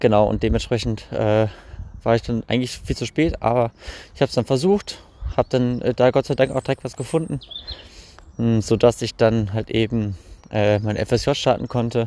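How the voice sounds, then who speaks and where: This man speaks at a moderate pace with long, frequent pauses, a medium pitch, ordinary pitch variation, and a dark, mellow tone in a dry, close sound with no echo. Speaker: podcaster. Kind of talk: personal storytelling monologue. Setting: outdoors, recorded while walking. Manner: halting, many fillers.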